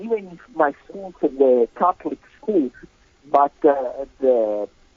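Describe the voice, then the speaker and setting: In an Italian accent, a man speaks at a very slow pace with lively intonation. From Italy. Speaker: composer and sacred music expert. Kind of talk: interview conversation. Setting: remote call. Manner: hesitant with many fillers.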